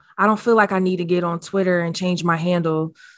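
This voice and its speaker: In a quiet background, a woman uses a plain, everyday voice, medium in pitch, at a fairly quick pace with fairly even intonation. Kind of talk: casual chat.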